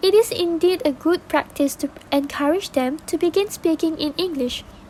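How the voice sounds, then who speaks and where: A woman speaks at an extremely high pitch with lively intonation. Noticeable background noise can be heard. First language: not English. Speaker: podcast guest. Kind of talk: scripted podcast discussion. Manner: formal.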